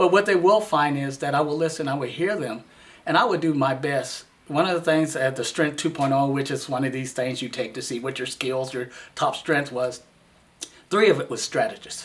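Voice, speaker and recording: Speaking at a moderate pace, a man has an unremarkable speaking voice, fairly high in pitch with ordinary pitch variation. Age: 60s. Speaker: city council candidate. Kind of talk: campaign interview.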